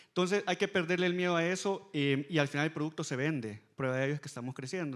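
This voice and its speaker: A man with a Salvadoran accent at a very fast pace, ordinary pitch variation, in a very clean recording with a silent background. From El Salvador. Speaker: fintech company executive. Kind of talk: panel discussion.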